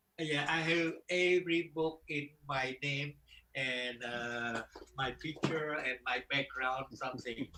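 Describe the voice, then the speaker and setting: This man talks at a very slow pace with fairly even intonation and a fairly high pitch. Background noise is noticeable throughout. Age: 70s. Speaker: martial arts grandmaster. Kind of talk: interview. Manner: halting.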